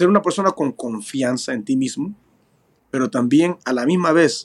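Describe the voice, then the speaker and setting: At a moderate pace, a man speaks at a fairly high pitch with very wide pitch swings. The sound is dry and close, with no echo. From Peru, moved to California at 10. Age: 40s. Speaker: professional bare-knuckle boxer. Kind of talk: interview.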